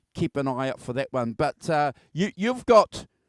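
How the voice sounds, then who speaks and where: Very wide pitch swings mark this man's speech at a moderate pace. The sound is dry and close with no echo, in a very clean recording with a silent background. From England. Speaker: music show host. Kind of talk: casual chat. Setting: live video stream.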